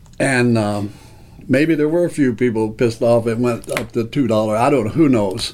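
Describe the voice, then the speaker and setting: Amid noticeable background noise, a man with a medium pitch talks at a moderate pace with ordinary pitch variation. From Kentucky, Owensboro. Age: 70s. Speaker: music venue owner. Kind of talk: interview. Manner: halting.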